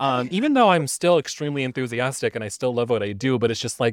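In an American accent, a man talks at a medium pitch with an animated tone on a very clean recording with a silent background. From US West Coast, Los Angeles. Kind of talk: casual chat.

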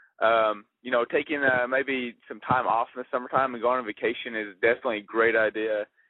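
An ordinary speaking voice at a fairly quick pace. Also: man. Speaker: college student. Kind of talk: casual chat.

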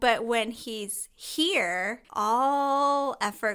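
A woman's bright, sharp voice with ordinary pitch variation, on a very clean recording with a silent background. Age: 30s. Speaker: podcast co-host, behavior analyst. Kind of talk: casual chat.

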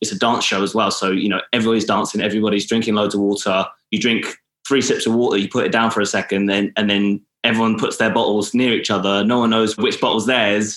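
A man with a southern English accent speaks very fast at a fairly low pitch, with monotone, flat intonation. His loudness stays very even on a very clean recording with a silent background. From England, Milton Keynes. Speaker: actor and sustainability entrepreneur. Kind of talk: interview conversation.

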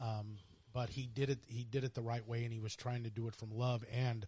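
Speaking with an American accent, a man uses a medium pitch and fairly even intonation. His voice is somewhat breathy, and his pace is moderate. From Missouri (High Ridge, near St. Louis). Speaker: podcast co-host. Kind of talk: casual chat.

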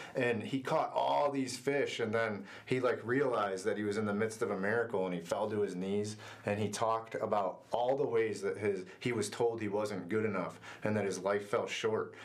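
A man's fairly low voice with an American accent, moderate pace, very even loudness and ordinary pitch variation, plus audible room echo. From Northwest Ohio, US. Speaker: youth ministry worker. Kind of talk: casual interview. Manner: halting, many fillers.

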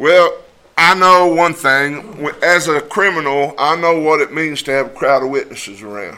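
Animated and bright, sharp in tone, a man speaks at a fairly high pitch with ordinary pitch variation. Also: moderate pace. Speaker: preacher. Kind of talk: fervent prayer; sermon. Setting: church congregation. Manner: fervent, pleading; animated, conversational storytelling.

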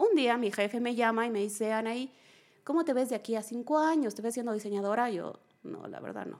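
At a fairly quick pace, a woman speaks in a fairly high pitch with ordinary pitch variation and big swings in loudness. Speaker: holistic therapist and emotional coach. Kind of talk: interview testimony.

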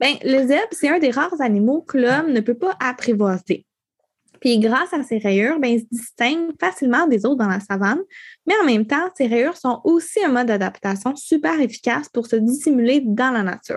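Against a quiet background, the speaker talks at a moderate pace with lively intonation. The loudness stays very even throughout. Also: woman, high pitch for a woman. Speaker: podcast co-host. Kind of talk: casual chat.

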